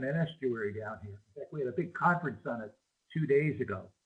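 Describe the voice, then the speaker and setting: His voice carries a somewhat breathy quality. This man's pitch is fairly high. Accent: Chicago. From US Midwest, Chicago. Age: 70s. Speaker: marine biologist and educator. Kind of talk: remote talk to school students with Q&A. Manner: casual, hesitant with many fillers.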